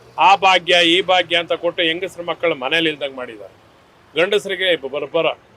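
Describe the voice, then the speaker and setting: His pitch varies in a typical way. He is a man whose voice sits high. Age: 60s. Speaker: member of the public interviewed. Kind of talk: street interview.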